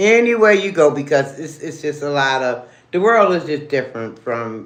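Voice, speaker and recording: Over audible room echo, a woman with a very deep, low pitch speaks at a moderate pace, her intonation lively and her tone animated. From Baltimore, Maryland. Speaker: livestreamer. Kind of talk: casual livestream chat. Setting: live stream while eating.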